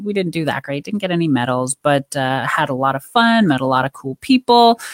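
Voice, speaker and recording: A woman speaks with very wide swings in pitch. The sound is dry and close, with no echo. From rural Canada. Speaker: pickleball player and life coach. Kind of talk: interview.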